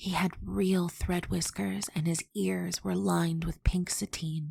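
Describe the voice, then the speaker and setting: In a soothing tone, a woman speaks somewhat breathily at a fairly low pitch and a fairly slow pace. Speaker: audiobook narrator. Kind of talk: soothing ASMR audiobook narration of a children's story. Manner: soft, soothing, relaxing.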